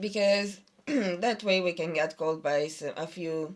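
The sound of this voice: This is a woman speaking. Her pitch is low.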